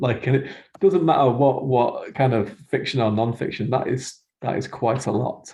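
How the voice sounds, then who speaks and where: Somewhat breathy, a man speaks at medium pitch and a moderate pace. His tone is dark and mellow, with ordinary pitch variation. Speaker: podcast host and fantasy writer. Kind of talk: podcast interview. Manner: laid back.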